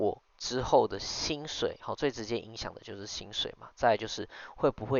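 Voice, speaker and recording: A man speaks at a fairly slow pace. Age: 20s. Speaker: podcast host and business owner. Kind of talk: casual solo monologue. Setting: late-night home recording. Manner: hesitant, many fillers.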